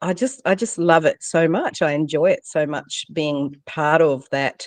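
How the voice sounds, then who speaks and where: A woman with a plain, everyday voice speaks fairly slowly at a fairly low pitch, with ordinary pitch variation. The sound is dry and close, with no echo. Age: 50s. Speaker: leadership coach and author. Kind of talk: interview.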